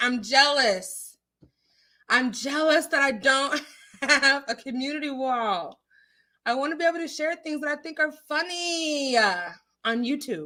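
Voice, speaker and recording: Putting on a whiny character voice, a woman speaks high and fairly slowly. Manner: whining.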